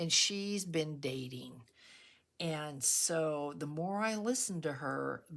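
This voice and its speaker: A woman talks at a very slow pace in a very deep, low voice. Her intonation is lively. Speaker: craft YouTuber. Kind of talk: craft tutorial with casual chat. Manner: chatty, conversational.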